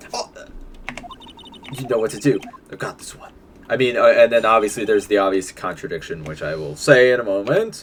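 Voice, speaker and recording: A man with a medium pitch talks at a fairly quick pace with lively intonation but long, frequent pauses. Noticeable background noise is present. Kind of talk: casual gameplay commentary.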